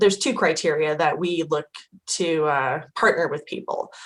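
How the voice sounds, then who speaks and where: A woman speaks with an American accent in an ordinary speaking voice. Her pitch is fairly low and her pace moderate. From Idaho. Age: 40s. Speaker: impact investing educator. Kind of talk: interview.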